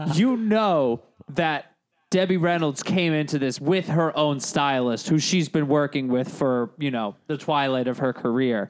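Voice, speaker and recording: Speaking fairly slowly, a man uses a fairly high pitch with ordinary pitch variation. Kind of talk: carnival barker bit. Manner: loud, hawking, sing-song pitchman patter; playful, exaggerated, mock-enthusiastic.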